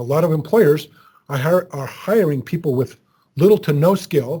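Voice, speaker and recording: A man's somewhat breathy voice with a dark, mellow tone sits at a fairly high pitch and shows ordinary pitch variation. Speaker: university instructor. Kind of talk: lecture. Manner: fast.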